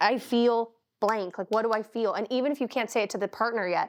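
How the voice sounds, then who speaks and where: A woman's fairly high voice, fairly quick and fairly even in intonation, against a quiet background. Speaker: podcast co-host and life coach. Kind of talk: casual chat. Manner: talkative, interrupting.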